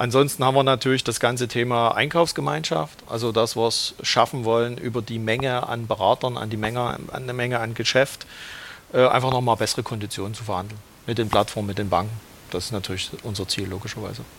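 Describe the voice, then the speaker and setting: A man races through his words at a very fast pace amid noticeable background noise. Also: medium pitch for a man, ordinary pitch variation. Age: 40s. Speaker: credit brokerage manager. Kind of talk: casual interview.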